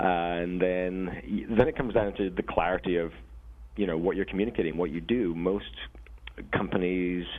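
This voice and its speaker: The speech goes at a moderate pace. Its pitch variation is ordinary. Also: man, very deep, low pitch for a man. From Scotland. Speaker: software company co-founder. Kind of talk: interview.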